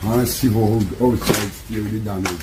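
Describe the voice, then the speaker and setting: A man speaks in a flat monotone with a Jamaican accent, with noticeable background noise and audible room echo. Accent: Jamaican Patois-inflected English. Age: 60s. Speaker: hurricane survivor, caretaker. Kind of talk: on-the-street interview.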